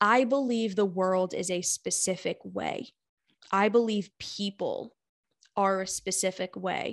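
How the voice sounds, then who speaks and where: The background is quiet as a woman speaks in a normal speaking voice. Her pitch is medium and her intonation fairly even. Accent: American. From United States. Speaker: therapist and life coach. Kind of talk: interview, casual chat.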